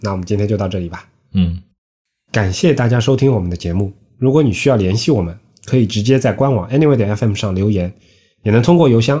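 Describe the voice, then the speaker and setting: His tone is dark and mellow. The man races along at a very fast pace, his intonation lively. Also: quiet background. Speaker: podcast host, designer. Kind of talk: casual chat.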